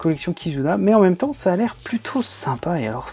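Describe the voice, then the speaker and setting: A man's intonation is lively, with music playing in the background. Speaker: manga collector youtuber. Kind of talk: casual video review of purchases. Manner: casual, hesitant with many fillers.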